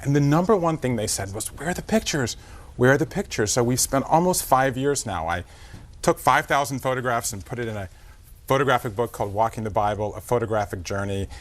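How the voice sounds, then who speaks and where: A man's very fast, lively delivery at a medium pitch, with an American accent. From US South. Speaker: author and documentary host. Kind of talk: TV morning show interview.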